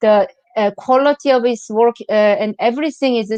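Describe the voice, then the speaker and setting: The sound is dry and close, with no echo. A woman speaks at a moderate pace in a high pitch with ordinary pitch variation. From South Korea. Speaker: museum curator. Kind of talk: interview. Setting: video call. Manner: halting.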